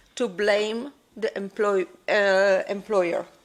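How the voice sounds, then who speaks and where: A woman with a Polish accent speaks with fairly even intonation. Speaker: air traffic controllers' union representative. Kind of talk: conference talk. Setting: conference with audience. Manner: halting.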